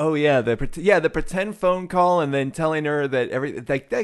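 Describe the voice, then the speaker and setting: A man talks at a fairly quick pace, his pitch fairly high, with very wide swings. The background is quiet. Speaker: podcast host. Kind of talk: casual chat.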